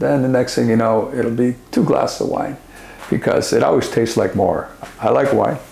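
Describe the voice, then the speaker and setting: A man speaks at a moderate pace with very even loudness, noticeable background noise behind him. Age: 60s. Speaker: author and speaker, former addict. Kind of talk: interview.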